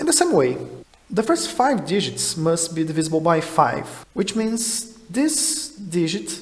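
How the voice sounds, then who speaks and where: High-pitched male speech with a Portuguese accent, fairly slow, over noticeable background noise. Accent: Portuguese-speaking non-native English. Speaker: math puzzle explainer. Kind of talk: educational explainer talk.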